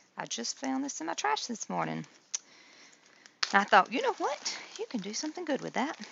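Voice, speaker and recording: A woman talks at a fairly quick pace but with long, frequent pauses, against noticeable background noise. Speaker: craft activity demonstrator. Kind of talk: tutorial. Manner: halting, many fillers.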